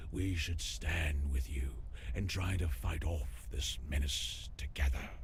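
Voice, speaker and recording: Using a put-on character voice, a man talks at a fairly slow pace over clear background noise. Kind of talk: noir game drama. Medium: video game. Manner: world-weary, wry.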